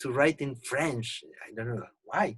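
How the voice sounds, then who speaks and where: In a Spanish accent, the speaker sounds somewhat breathy, with fairly even intonation. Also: man. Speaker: poet. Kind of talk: casual chat. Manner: halting.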